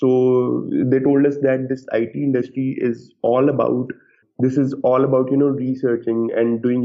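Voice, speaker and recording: A man's medium-pitched voice at a fairly slow pace, with monotone, flat intonation. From Pakistan. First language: not English. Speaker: game developer. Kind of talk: interview. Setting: podcast. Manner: halting.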